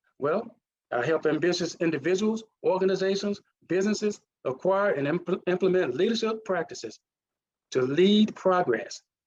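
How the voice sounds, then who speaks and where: A man speaks in a Mississippi accent with a high pitch. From US South, Mississippi. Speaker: leadership consultant. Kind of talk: presentation.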